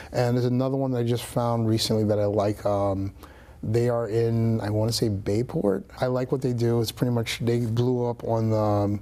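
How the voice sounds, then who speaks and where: Speaking in a New York accent, a man holds a medium pitch and very even loudness, his dark, mellow tone set in a flat monotone. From New York City, Brooklyn. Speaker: real estate agent. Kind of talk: casual interview. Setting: studio. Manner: fast.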